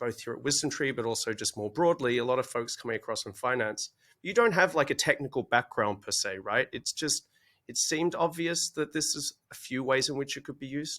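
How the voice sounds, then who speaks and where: A man with an Australian accent, fairly high-pitched, bright and sharp in tone, with lively intonation at a fairly quick pace, recorded very cleanly against a silent background with a dry, close sound and no echo. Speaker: podcast host, digital assets director. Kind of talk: podcast interview. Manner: casual, joking.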